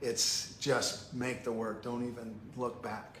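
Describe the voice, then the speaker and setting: A man is speaking with noticeable background noise. The room echo is audible. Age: 60s. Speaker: painter. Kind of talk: casual chat. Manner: halting.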